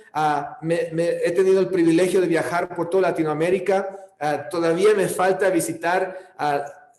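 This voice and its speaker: A man's high-pitched, monotone, flat delivery at a moderate pace, with noticeable background noise and audible room echo. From California. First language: English (speaking Spanish). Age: 40s. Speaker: pastor. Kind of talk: sermon. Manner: halting.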